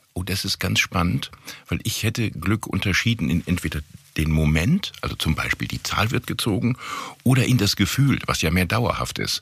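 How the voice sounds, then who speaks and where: Against noticeable background noise, a man with a very deep, low pitch talks at a moderate pace with lively intonation. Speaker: podcast host, corporate communications. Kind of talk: interview podcast.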